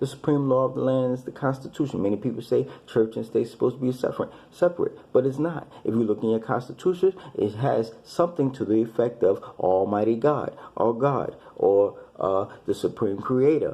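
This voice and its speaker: Here a man speaks with a dark, mellow tone at a medium pitch. His pace is fairly quick and his pitch varies in an ordinary way. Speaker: religious commentator. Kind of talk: monologue lecture. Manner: halting, repetitive.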